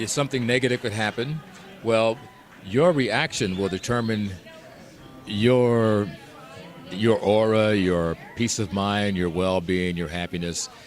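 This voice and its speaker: Crowd noise fills the background as a man speaks at a fairly slow pace. He leaves long, frequent pauses. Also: fairly low pitch for a man, ordinary pitch variation. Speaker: radio DJ and voice actor. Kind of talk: interview answer.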